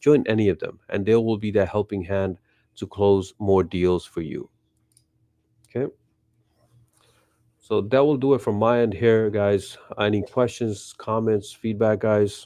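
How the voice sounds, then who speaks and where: Fairly low-pitched and dark, mellow in tone, a man speaks at a fairly slow pace with fairly even intonation and long, frequent pauses. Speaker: real estate and mortgage team leader. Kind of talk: team meeting update.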